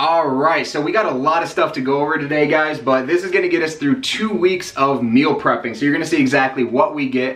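Over audible room echo, a man talks at a fairly quick pace with hardly any pauses and ordinary pitch variation. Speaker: fitness diet vlogger. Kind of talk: casual vlog chat. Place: home room.

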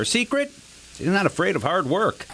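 Raising and projecting his voice, a man speaks at a high pitch over noticeable background noise. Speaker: TV news reporter. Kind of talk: TV news feature narration.

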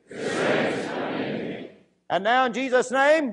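The man's voice sits at an extremely high pitch, with ordinary pitch variation. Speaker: preacher. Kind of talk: fervent prayer and declarations. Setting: church service. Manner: fervent, repetitive, echoing phrases; urgent, commanding. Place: church. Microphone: lapel.

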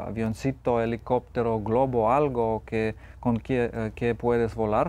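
Fairly slow and dark, mellow in tone, a man speaks with a Lithuanian accent. His pitch is medium. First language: Lithuanian (speaking Spanish). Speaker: photographer and author; guest. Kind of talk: TV interview. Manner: halting, with frequent repetitions and fillers. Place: studio. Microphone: lapel.

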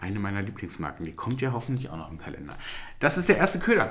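Fast and fairly bright, a man's fairly low voice moves through very wide pitch swings.

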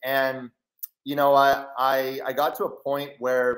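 Recorded with audible room echo against a quiet background, a man speaks at a medium pitch. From Canada. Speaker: online trading educator and entrepreneur; online trading educator. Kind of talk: live webinar presentation. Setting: video call. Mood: reflective, earnest. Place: home room. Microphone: headset.

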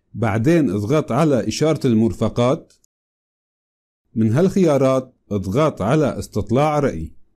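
With a Syrian accent, a man speaks at a medium pitch in a dark, mellow tone with lively intonation. The recording is very clean, with a silent background. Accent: Syrian Levantine Arabic. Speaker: tech tutorial youtuber. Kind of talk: tutorial.

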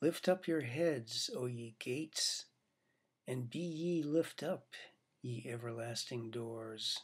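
Over a quiet background, a somewhat breathy man speaks at a very slow pace with ordinary pitch variation. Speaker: poet reading own work. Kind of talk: poem reading, read aloud from his own long poem. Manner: measured, deliberate, formal cadence. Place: home room. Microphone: webcam.

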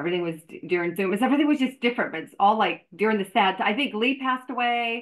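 Against a quiet background, someone speaks very fast with lively intonation. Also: woman, fairly high pitch for a woman. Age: 50s. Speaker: fitness professional and podcast host; podcast host. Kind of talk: casual interview. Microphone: video call.

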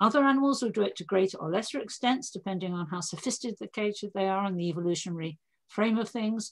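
Against a quiet background, a woman talks at a fairly quick pace in a somewhat breathy voice with ordinary pitch variation. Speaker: interviewee. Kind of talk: interview answer. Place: home room. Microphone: video call.

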